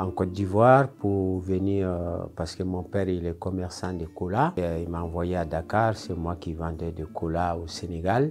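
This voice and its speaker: Fairly even intonation at a fairly slow pace, with music in the background. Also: man. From Mali, West Africa. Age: 70s. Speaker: immigrant resident. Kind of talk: personal testimony.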